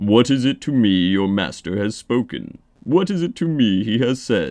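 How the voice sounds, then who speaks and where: A man's put-on character voice at medium pitch, lively in intonation, moderate in pace, against a quiet background. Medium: read story. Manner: haughty, defiant.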